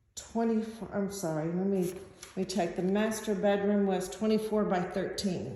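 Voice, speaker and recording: At a moderate pace, a woman speaks at a medium pitch with fairly even intonation, amid noticeable background noise and audible room echo. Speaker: real estate agent. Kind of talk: guided home tour video. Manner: hesitant with fillers.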